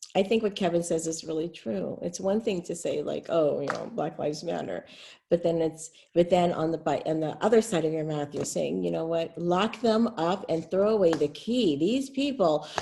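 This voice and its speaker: Lively intonation runs through a woman's fairly low-pitched, dark and mellow voice, which carries vocal fry and an American accent. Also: moderate pace. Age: 60s. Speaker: city supervisor. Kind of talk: panel discussion. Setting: webinar.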